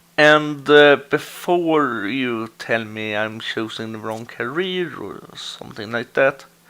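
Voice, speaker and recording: A man with a Swedish accent speaks at a very slow pace, with hardly any pauses. His loudness swings widely. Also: medium pitch for a man, ordinary pitch variation. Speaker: gaming video creator. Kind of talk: let's play commentary. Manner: halting, frequent hesitations.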